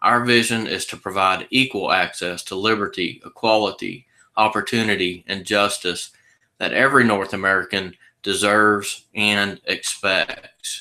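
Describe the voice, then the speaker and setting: A man with a Texas accent speaks in a bright, sharp tone. His pitch sits fairly low and his intonation stays fairly even. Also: moderate pace, very clean recording, silent background. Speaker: sales presenter for a legal plan company. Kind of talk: sales pitch.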